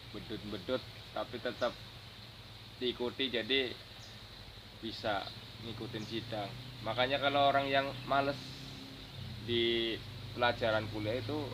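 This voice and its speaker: A man's medium-pitched voice, monotone and flat, at a fairly slow pace with long, frequent pauses. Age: young. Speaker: university student and online motorbike-taxi driver. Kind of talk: interview answer.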